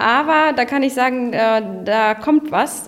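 Pitch variation in the voice is ordinary. Noticeable background noise can be heard. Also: woman. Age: 20s. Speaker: office park manager. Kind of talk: casual interview.

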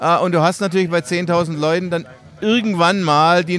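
At a moderate pace, a man uses an ordinary speaking voice with a fairly high pitch. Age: 60s. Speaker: cycling event organizer. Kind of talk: casual interview.

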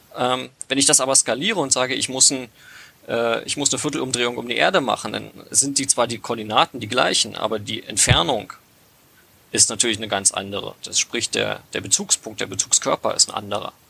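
There is noticeable background noise. Over it, a man talks at medium pitch and a fairly quick pace. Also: ordinary pitch variation. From Brandenburg, Lausitz region. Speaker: hobby app developer. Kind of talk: casual podcast interview. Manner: halting, many fillers.

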